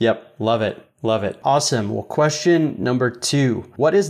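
Moderate in pace and ordinary in pitch variation, this man has an unremarkable speaking voice. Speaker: podcast host. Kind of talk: casual interview.

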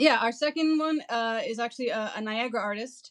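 With a Canadian accent, a woman uses an unremarkable speaking voice at a fairly high pitch, with ordinary pitch variation and a moderate pace. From St. Catharines, Ontario. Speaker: marketing and PR agency co-owner. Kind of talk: casual interview chat.

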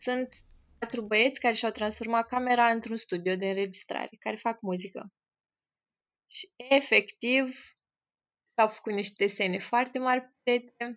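Fairly high in pitch, a woman talks at a fairly slow pace with fairly even intonation and long, frequent pauses, in a dry, close sound with no echo. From Romania, Moldavia region (Piatra Neamț). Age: 20s. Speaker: volunteer with institutionalized children. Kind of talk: interview.

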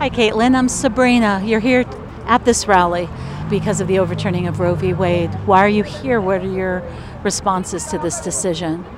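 Over noticeable background noise, a woman talks at a moderate pace with a medium pitch and ordinary pitch variation. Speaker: radio host interviewing protesters. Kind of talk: street interviews at a rally. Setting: outdoors at a street protest.

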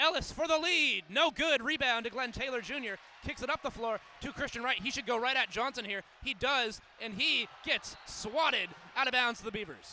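A raised, projected male voice at an extremely high pitch. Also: ordinary pitch variation. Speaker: college radio play-by-play announcer. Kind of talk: live play-by-play basketball commentary, calling each possession. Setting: courtside at an arena with crowd. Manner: rapid, clipped possession-by-possession calling; animated, rising with excitement on big plays.

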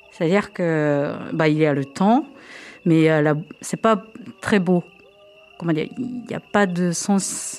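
With a Japanese accent, a woman speaks very slowly in a fairly low pitch, leaving long, frequent pauses. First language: Japanese (speaking French). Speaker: drummer and percussionist. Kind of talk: radio interview. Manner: halting.

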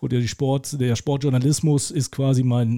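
This is a normal speaking voice at a moderate pace with fairly even intonation. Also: man. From Lower Saxony, Germany (Hildesheim). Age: 40s. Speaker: sports commentator. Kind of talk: casual interview. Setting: video call.

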